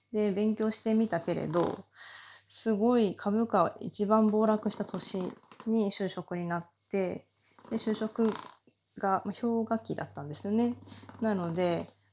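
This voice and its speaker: Very slow speech from a woman with a fairly high pitch, a relaxed tone, fairly even intonation, and long, frequent pauses. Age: 30s. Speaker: body therapy salon owner. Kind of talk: casual monologue.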